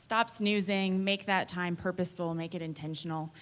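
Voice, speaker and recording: A woman with a fairly low pitch and an unremarkable speaking voice talks at a fairly quick pace with fairly even intonation. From Texas, Austin. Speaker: realtor. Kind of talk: panel discussion.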